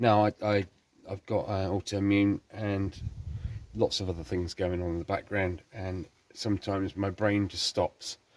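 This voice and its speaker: A fairly low-pitched man in a monotone, flat intonation at a moderate pace, with dry, close sound, no echo, and a very clean recording over a silent background. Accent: English. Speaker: car restoration youtuber. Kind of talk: tutorial. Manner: halting; casual.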